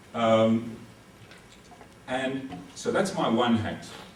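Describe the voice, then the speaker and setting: A man speaks at a medium pitch amid noticeable background noise. Audible room echo is present as well. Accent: South African. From South Africa. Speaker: military legal advisor. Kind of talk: lecture.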